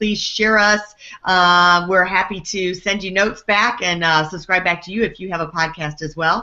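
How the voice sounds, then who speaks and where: A woman speaks at a moderate pace in an ordinary speaking voice, with fairly even intonation. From Texas, Houston. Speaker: podcast host. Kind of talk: podcast interview.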